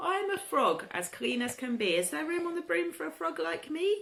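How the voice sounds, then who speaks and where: A put-on character voice, croaky and fairly high, with very wide pitch swings at a fairly quick pace. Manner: polite.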